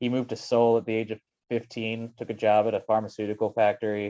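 Monotone and flat, a man speaks with a fairly low pitch and a dark, mellow tone. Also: dry, close sound with no echo. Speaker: podcast co-host. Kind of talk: casual chat. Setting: video call.

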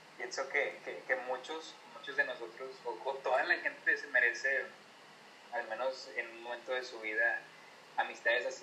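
A man at a moderate pace, with big swings in loudness over noticeable background noise. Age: 30s. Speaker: podcaster and university friend. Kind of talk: casual chat.

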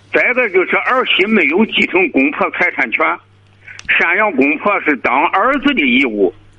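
Over noticeable background noise, a man speaks fairly slowly at a high pitch with very wide pitch swings. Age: 80s+. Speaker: caller. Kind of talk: phone-in advice call. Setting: phone call.

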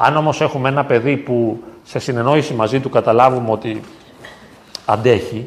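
The man talks at a moderate pace and a medium pitch. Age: 50s. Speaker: psychologist. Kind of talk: talk and discussion with parish youth. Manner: halting.

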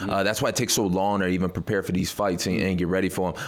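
A man with an American accent talks very fast in a very deep, low pitch. His intonation is monotone and flat, with noticeable background noise. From Detroit, Michigan, US. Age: 20s. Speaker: mixed martial arts fighter. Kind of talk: radio interview.

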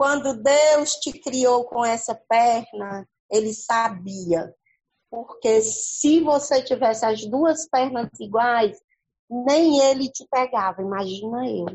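Her pitch high with ordinary variation, a woman speaks at a very slow pace. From Paracuru, Ceará, Brazil. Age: 50s. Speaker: schoolteacher. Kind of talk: casual chat.

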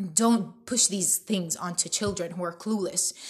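A woman's somewhat breathy voice moves at a moderate pace. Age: 20s. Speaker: podcast host. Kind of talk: heated opinion rant, solo podcast monologue. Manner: indignant, exasperated tirade with disgusted emphasis; repetitive, stumbling restarts, hammering phrases.

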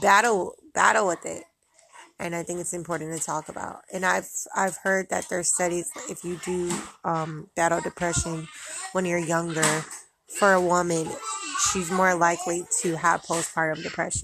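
Pausing long and often, a woman speaks at a moderate pace in a fairly low, monotone, flat voice. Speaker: mom vlogger. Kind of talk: casual personal monologue. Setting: at home with kids in background. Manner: casual with many filler words.

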